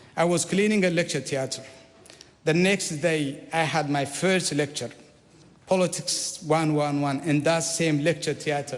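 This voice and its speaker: Against noticeable background noise, a man with an Eritrean accent talks at a moderate pace and fairly high pitch with ordinary pitch variation. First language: Saho. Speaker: politician. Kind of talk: formal speech. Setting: parliament chamber.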